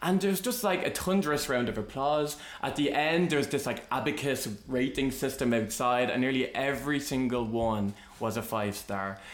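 Amid noticeable background noise, a man with an Irish accent talks at a moderate pace and medium pitch, with lively intonation. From Ireland. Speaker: podcast host. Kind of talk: casual chat.

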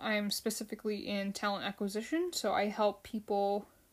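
With an American accent and an ordinary speaking voice, a woman of fairly high pitch speaks at a moderate pace. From United States (Filipino family). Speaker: podcast host, fan show. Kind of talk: solo casual podcast, episode recap. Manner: casual, with fillers and repetitions.

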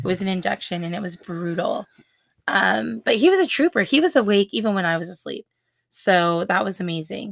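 A woman talks fairly quickly at a medium pitch in an animated tone, with lively intonation and vocal fry. The recording is very clean with a silent background, dry and close with no echo. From US West Coast. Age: 20s. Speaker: podcast host and blogger. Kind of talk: casual chat.

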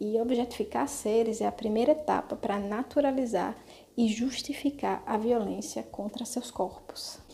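Fairly high in pitch, a woman with an unremarkable speaking voice talks at a moderate pace with fairly even intonation. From Brazil, Natal (Rio Grande do Norte). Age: 30s. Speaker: activist and vegan cook. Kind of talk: casual panel discussion.

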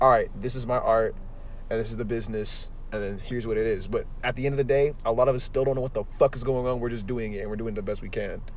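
A very fast, animated man with an American accent and ordinary pitch variation. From US West Coast, San Jose. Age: young. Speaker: podcast host. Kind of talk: casual chat. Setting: in a car. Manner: loud.

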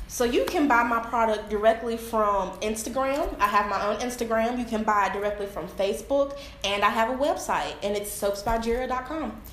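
Fairly high pitch from a woman at a moderate pace with hardly any pauses and ordinary pitch variation, amid audible room echo and noticeable background noise. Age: 20s. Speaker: small business owner, soap maker. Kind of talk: product presentation.

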